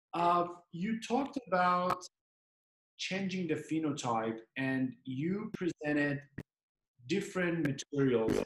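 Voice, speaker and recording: With audible room echo and light background noise, a man speaks at a very slow pace and high pitch, his intonation lively, with long, frequent pauses. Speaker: dental webinar host; host asking the guest questions. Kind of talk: interview. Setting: video call. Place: home room. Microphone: video call.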